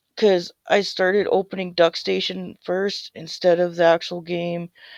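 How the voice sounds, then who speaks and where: A woman's fairly low, monotone, flat voice at a fairly slow pace, with a dry, close sound and no echo. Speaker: gaming and reaction youtuber. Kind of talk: casual outro chat. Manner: casual, loosely structured.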